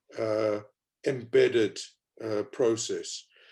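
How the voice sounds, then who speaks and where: A man is speaking. He has a South African accent. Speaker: panelist on race inclusion. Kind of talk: panel discussion.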